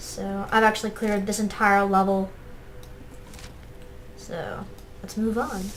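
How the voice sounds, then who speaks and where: Her medium-pitched woman's voice is quiet and flat, moving at a fairly slow pace with long, frequent pauses. Loudness swings widely from moment to moment. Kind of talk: gameplay commentary. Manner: quiet, hard to hear.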